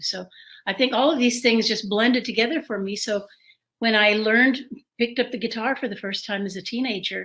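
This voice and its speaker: Bright and sharp in tone, a woman with an American accent speaks with ordinary pitch variation. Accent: Texan with Mexican American tinge. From San Antonio, Texas. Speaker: singer-songwriter. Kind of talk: interview. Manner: halting.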